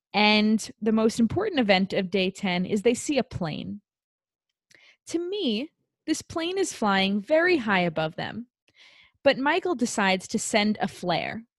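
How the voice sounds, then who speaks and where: Somewhat breathy speech at a fairly slow pace with very wide pitch swings, captured in a very clean recording with a silent background and a dry, close sound with no echo. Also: woman, fairly high pitch for a woman. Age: 20s. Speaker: podcast co-host. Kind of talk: casual chat.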